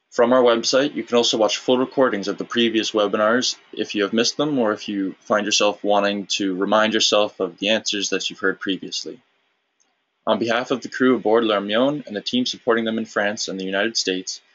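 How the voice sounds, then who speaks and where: Intonation here holds fairly even. It comes at a fairly quick pace in an unremarkable speaking voice. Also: man, medium pitch for a man. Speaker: webinar moderator. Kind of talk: scripted closing announcement; webinar interview. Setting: online webinar.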